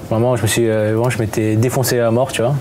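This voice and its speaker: Talking at a fairly quick pace, a man keeps a monotone, flat intonation over light background noise. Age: 20s. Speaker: young adult sharing experience. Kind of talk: casual group discussion. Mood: reflective, confessional. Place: home room. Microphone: lapel.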